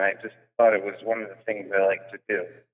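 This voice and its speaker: A man with an American accent at a moderate pace. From New York (Long Beach, Long Island). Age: 30s. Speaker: comedian. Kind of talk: podcast interview.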